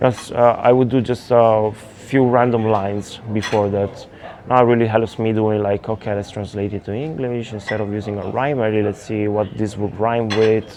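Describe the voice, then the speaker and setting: This speaker has an Italian accent and a monotone, flat intonation. The pace is moderate, with noticeable background noise. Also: man, fairly low pitch for a man. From Italy. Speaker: electronic music producer. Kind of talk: interview monologue. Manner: halting.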